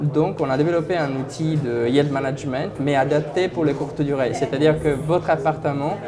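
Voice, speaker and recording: Fairly slow, fairly even speech against crowd noise in the background. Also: man. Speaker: company founder and CEO. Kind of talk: interview answer.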